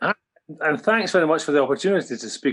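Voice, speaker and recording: Here a man with a Scottish accent speaks with lively intonation. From Scotland. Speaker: police officer. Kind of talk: public meeting testimony.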